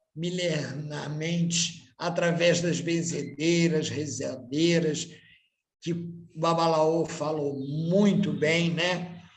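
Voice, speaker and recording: At a very slow pace, a man with a high pitch and fairly even intonation speaks amid audible room echo. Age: 60s. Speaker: candomblé priest. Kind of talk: panel talk.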